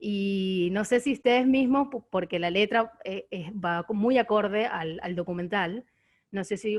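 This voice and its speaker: With a Venezuelan accent, a woman speaks at a medium pitch with ordinary pitch variation. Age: 20s. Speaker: audience member asking questions. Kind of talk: Q&A question at online screening discussion. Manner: halting, many repetitions.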